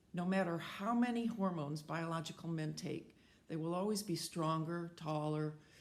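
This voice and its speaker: With an American accent, a woman talks at a fairly low pitch and a moderate pace. Her pitch varies in an ordinary way, and audible room echo is present. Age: 70s. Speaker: senior athlete and advocate. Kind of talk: prepared testimony statement. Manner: formal.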